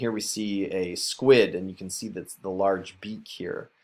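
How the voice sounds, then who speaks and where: A man talks with an unremarkable speaking voice, ordinary pitch variation and a moderate pace. The recording is very clean, with a silent background. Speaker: teacher. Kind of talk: recorded lesson for students.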